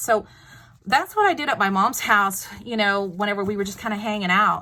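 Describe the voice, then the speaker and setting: At a fairly quick pace, a woman with a Texas accent speaks in a bright, sharp tone with ordinary pitch variation. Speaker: craft video maker. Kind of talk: tutorial. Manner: casual, chatty with fillers.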